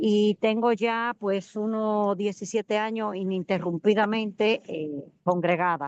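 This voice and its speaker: A woman's medium-pitched voice at a very slow pace, with ordinary pitch variation, hardly any pauses, and a dry, close sound with no echo. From Dominican Republic. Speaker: student. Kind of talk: self-introduction.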